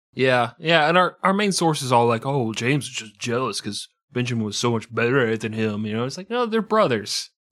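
An unforced reading voice carries the words.

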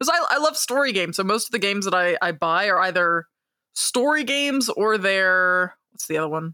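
In a bright, sharp tone with lively intonation, the voice moves at a moderate pace on a very clean recording with a silent background. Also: woman. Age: 20s. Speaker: podcast host and writer. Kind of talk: casual chat.

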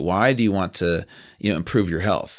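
A man with an American accent speaks in a normal speaking voice at a fairly low pitch with ordinary pitch variation. The recording is very clean with a silent background. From Southern California, then Virginia from age 13. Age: 30s. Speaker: fitness trainer and founder. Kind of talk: casual interview. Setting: podcast studio.

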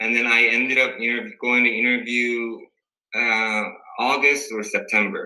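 A man's monotone, flat delivery at a fairly slow pace, with long, frequent pauses and audible room echo. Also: medium pitch for a man. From South Korea. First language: Korean. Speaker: dental resident. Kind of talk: casual interview. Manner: halting, many fillers.

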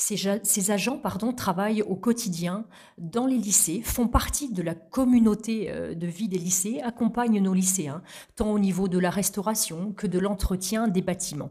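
A somewhat breathy woman at medium pitch, dark and mellow in tone, at a fairly slow pace. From Normandy, Calvados (Vire area). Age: 40s. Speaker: regional politician and mayor. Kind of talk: interview. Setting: in person at the guest's town. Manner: formal.

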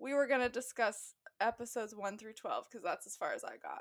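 Lively intonation and a West Coast US accent come through at a moderate pace. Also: woman. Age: 20s. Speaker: podcast co-host. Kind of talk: casual chat.

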